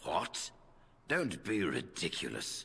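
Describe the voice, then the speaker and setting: A man puts on a raspy character voice. His pitch sits fairly low. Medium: video game. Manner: formal, measured.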